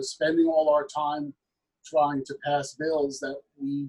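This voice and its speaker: A man's fairly high, somewhat breathy voice at a moderate pace, flat and monotone, in dry, close sound with no echo. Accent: American. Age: 50s. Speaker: state legislator. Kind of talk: panel discussion.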